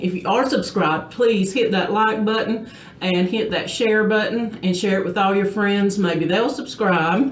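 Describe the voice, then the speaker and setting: Spoken at a fairly slow pace in a strong Southern US accent, the clip carries audible room echo and noticeable background noise. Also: woman. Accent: thick Southern. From US South, South Georgia. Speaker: beauty vlogger. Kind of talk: casual chat; tutorial. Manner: casual, conversational with fillers.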